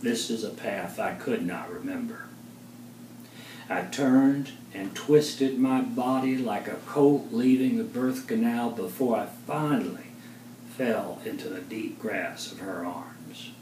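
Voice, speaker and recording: A man's voice at a fairly slow pace, with big swings in loudness and noticeable background noise. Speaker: poet, author and therapist. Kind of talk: poetry reading.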